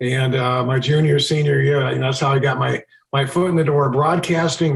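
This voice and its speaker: A man's somewhat breathy, fairly high voice with an American accent and fairly even intonation. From Chicago area, US Midwest. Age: 60s. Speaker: TV meteorologist. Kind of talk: podcast interview.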